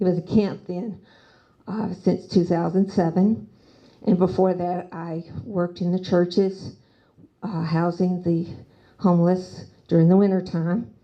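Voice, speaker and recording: With a dark, mellow tone and fairly even intonation, a woman speaks with long, frequent pauses. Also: medium pitch for a woman, fairly slow pace. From US South, Nashville. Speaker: city council candidate. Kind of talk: candidate forum speech.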